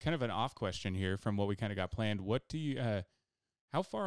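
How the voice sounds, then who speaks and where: Fairly quick and fairly low in pitch, a man with a plain, everyday voice is heard in a very clean recording with a silent background and a dry, close sound with no echo. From rural southern Idaho. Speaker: podcast host and paramedic. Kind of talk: casual chat.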